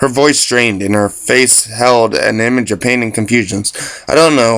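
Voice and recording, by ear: Ordinary pitch variation runs through the clip. It is reading aloud in a natural voice.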